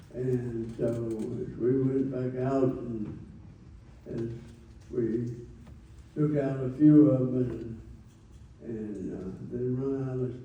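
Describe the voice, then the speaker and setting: Over noticeable background noise, a man speaks at a very slow pace with fairly even intonation and long, frequent pauses. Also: medium pitch for a man. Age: 80s+. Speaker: war veteran. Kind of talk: talk to an audience.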